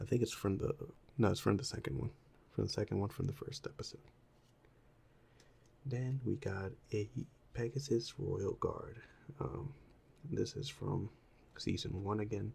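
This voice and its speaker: The voice is soft-spoken and relaxed, with a dark, mellow tone and vocal fry. Its intonation is lively, broken by long, frequent pauses. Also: man, medium pitch for a man, moderate pace. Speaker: ASMR content creator. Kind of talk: ASMR show and tell, casual talk to camera. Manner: soft-spoken, relaxed.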